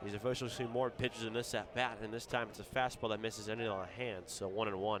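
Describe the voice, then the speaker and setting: With an energetic tone, a man at a medium pitch speaks at a very fast pace with hardly any pauses over noticeable background noise. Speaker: baseball radio play-by-play announcer. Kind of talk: baseball radio play-by-play call. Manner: fast, energetic, sports broadcast delivery.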